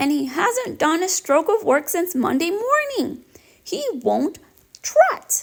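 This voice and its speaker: A woman's put-on character voice at an extremely high pitch, at a fairly slow pace. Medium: read story.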